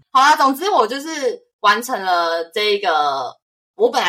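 In a Taiwanese accent, a woman with a bright, sharp tone and fairly high pitch speaks at a fairly slow pace, her pitch swinging very widely. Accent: Taiwanese Mandarin. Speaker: podcast host. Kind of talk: casual chat. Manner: animated.

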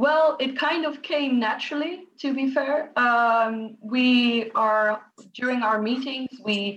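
Very slowly, a woman talks with a Dutch accent. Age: 20s. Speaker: student. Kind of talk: interview.

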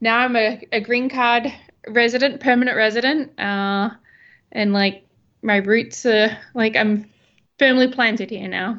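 Against a quiet background, a woman with an Australian accent speaks at a moderate pace in a fairly high, bright, sharp voice with fairly even intonation. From Western Australia (Albany). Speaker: wedding photographer. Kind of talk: casual chat.

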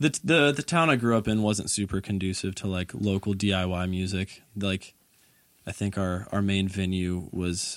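A man speaks at a moderate pace with an American accent and a fairly low pitch. He has an ordinary speaking voice. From US South, Georgia (Conyers, near Atlanta). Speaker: musician. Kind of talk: casual chat.

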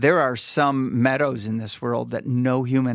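On a very clean recording with a silent background, a man with an ordinary speaking voice talks at a medium pitch and moderate pace, with ordinary pitch variation. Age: 50s. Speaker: pastor. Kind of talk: casual chat.

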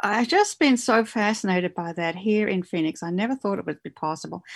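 A woman with an Australian accent and medium pitch speaks at a fairly quick pace with lively intonation, the sound dry and close with no echo against a quiet background. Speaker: novelist. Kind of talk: casual interview.

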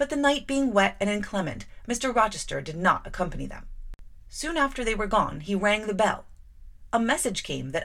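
The speaker is reading aloud in a natural voice. The delivery stays that way throughout.

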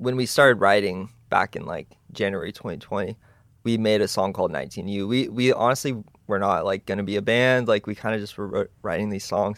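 A man with an American accent talks at a moderate pace in an unremarkable speaking voice. His pitch is fairly low, with ordinary variation. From Texas (Dallas). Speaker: drummer and music producer. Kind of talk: casual chat.

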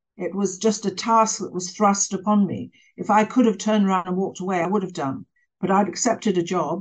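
With an English accent, a woman talks at a fairly quick pace in a medium pitch, her pitch varying in an ordinary way. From England. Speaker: author and former journalist. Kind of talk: interview.

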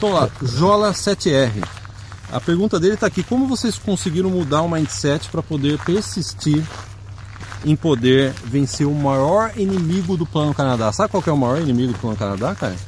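A man with a fairly high voice talks at a moderate pace, his pitch swinging very widely, as noticeable background noise plays behind him. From Brazil. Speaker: immigration advice video host. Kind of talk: casual Q&A video.

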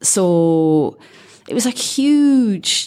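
A woman with a Scottish accent on a very clean recording with a silent background. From Scotland. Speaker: former caddie and amateur golfer. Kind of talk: interview.

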